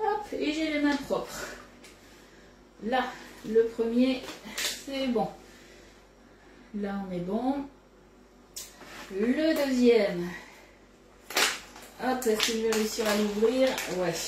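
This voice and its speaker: A woman with a fairly high voice speaks very slowly, leaving long, frequent pauses, with ordinary pitch variation. Room echo is audible, and background noise is noticeable. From Bordeaux, southwest France. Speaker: cookware sales consultant. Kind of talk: live cooking demonstration. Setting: home kitchen, live stream. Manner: casual, chatty.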